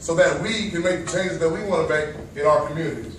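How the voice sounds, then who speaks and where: Moderate-paced male speech amid noticeable background noise and audible room echo. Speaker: TEDx speaker. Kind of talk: public talk. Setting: stage with audience. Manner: loud.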